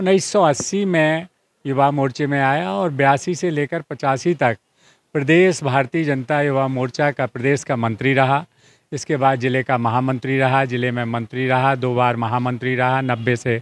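Recorded dry with no echo, a man speaks at a fairly slow pace with ordinary pitch variation. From Madhya Pradesh. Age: 60s. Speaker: independent election candidate, politician; election candidate, politician. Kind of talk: interview. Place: street.

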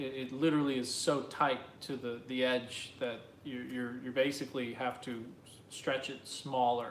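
An American-accented man speaks at a moderate pace in a flat monotone, with light background noise and audible room echo. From New Jersey. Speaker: artist. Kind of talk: live Q&A stream. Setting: live video stream. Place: home room. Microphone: phone near.

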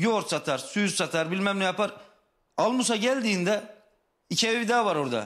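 Against a quiet background, a man with a high pitch for a man speaks at a fairly quick pace with ordinary pitch variation. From Turkey, Tokat province; Turkey. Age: 30s. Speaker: construction worker, son of missing woman. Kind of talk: TV talk show testimony. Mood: earnest, slightly frustrated. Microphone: video call.

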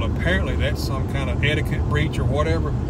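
Very fast speech in a dry recording with no echo, over loud background noise. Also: man. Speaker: restaurant reviewer. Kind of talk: casual vlog chat. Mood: joking, mildly indignant. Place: car. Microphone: phone near.

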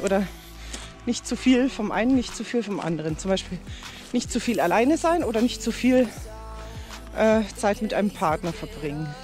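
A woman's voice, dry with no echo, with long, frequent pauses and faint music behind. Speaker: vlogger. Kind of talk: casual vlog chat. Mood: reflective, calm. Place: waterside. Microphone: phone near.

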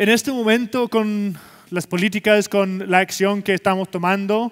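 A man's high-pitched voice with an English accent, fairly slow and fairly even in intonation, in a quiet background. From Scotland. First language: English (speaking Spanish). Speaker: sustainability executive and keynote speaker; keynote speaker. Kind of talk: conference keynote presentation. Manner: halting, many fillers. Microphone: headset.

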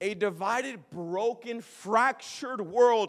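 Over a quiet background, a man with an American accent talks in an animated tone. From Minnesota (Minneapolis). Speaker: traveling evangelist. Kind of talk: sermon. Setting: church. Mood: passionate, humorous at times. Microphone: handheld.

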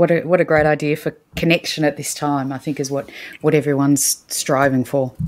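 In an Australian accent, the speaker delivers a monotone, flat intonation at a fairly quick pace. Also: woman, very deep, low pitch for a woman. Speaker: podcast co-host and parent. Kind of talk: casual chat.

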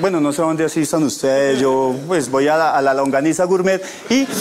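Fairly high for a man, this voice moves at a fairly quick pace. Light background noise sits behind it. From Bogotá, Colombia. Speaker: comedian; stand-up comedian. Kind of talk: stand-up; comedy monologue. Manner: repeats words, halting starts. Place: studio. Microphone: lapel.

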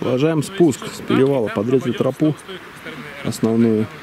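A man at a moderate pace, dry sound with no echo, light background noise underneath. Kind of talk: casual vlog commentary. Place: open country. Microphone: phone near.

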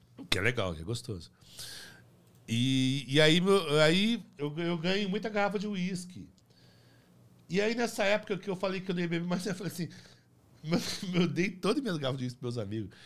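A high-voiced man speaks at a moderate pace. His intonation is lively, broken by long, frequent pauses. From Paraná, Brazil. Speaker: playwright and theatre director; podcast guest. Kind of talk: casual interview chat. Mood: relaxed storytelling. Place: studio. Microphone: studio mic.

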